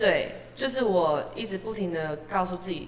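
A woman of medium pitch, with audible room echo and noticeable background noise. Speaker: street performer singer. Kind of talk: casual interview chat.

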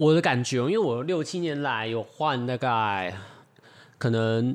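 At a fairly slow pace, a man with a plain, everyday voice speaks at a medium pitch with ordinary pitch variation. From Taiwan (Taichung or Tainan). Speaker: podcast co-host. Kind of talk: casual chat.

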